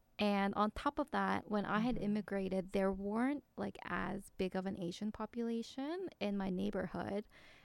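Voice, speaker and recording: A woman with an ordinary speaking voice, medium pitch, ordinary pitch variation and a moderate pace with hardly any pauses. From South Korea, then Canada. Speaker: podcast co-host. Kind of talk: casual chat.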